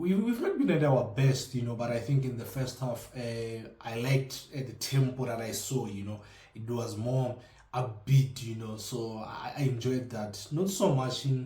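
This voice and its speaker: A man's somewhat breathy, medium-pitched voice in a South African accent, dark and mellow in tone, with audible room echo. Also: ordinary pitch variation, moderate pace. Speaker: football fan vlogger. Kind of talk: casual commentary vlog. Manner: halting, many fillers; mumbles.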